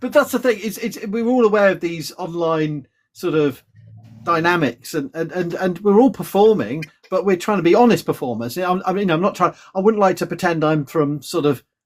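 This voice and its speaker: Using a British accent, a man speaks at a moderate pace in a high pitch with lively intonation. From England. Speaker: professor. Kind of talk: casual chat. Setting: live stream video call.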